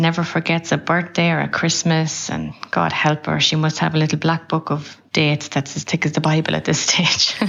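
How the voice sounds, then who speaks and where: With an Irish accent, a woman talks at a moderate pace in a very deep, low pitch and a monotone, flat intonation, with noticeable background noise behind her. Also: hardly any pauses. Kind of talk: recorded tribute message.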